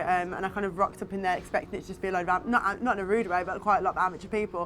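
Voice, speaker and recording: Very fast female speech with a Birmingham accent at medium pitch, amid noticeable background noise. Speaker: actress. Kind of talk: behind-the-scenes interview.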